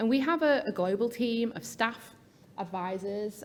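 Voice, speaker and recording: A woman with a British accent, at a moderate pace with lively intonation. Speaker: patient advocacy research officer. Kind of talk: conference talk. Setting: stage with audience.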